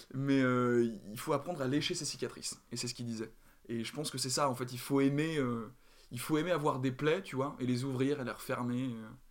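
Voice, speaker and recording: A man speaks at a fairly quick pace and medium pitch with fairly even intonation. He has an unremarkable speaking voice. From Paris, France. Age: 20s. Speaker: drama student and actor. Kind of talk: casual interview.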